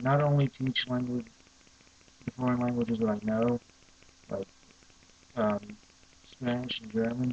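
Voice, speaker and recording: In a dry, close sound with no echo, a man at a medium pitch speaks fairly slowly and in a monotone, flat way, with long, frequent pauses. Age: young. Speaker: language learner. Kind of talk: casual talk to camera.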